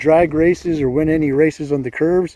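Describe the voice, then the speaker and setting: Noticeable background noise behind a man speaking at a fairly high pitch. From New Mexico. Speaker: motorcycle vlogger, army veteran. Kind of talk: casual vlog monologue. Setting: outdoors on a motorcycle by a highway. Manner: hesitant, many filler uhs.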